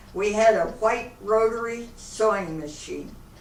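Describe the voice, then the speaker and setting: Speaking very slowly, a woman uses a fairly high pitch. Audible room echo and noticeable background noise surround her voice. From Akron, Ohio, US Midwest. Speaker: elderly woman telling her life story. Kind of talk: oral history interview.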